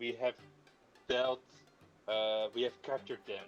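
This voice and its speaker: A man does a put-on character voice at a moderate pace. Clear music plays in the background. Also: medium pitch for a man. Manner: goblin-like.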